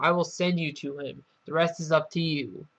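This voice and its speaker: Against a quiet background, someone performs a put-on character voice at a middle pitch. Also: moderate pace. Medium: read story. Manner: solemn, reassuring.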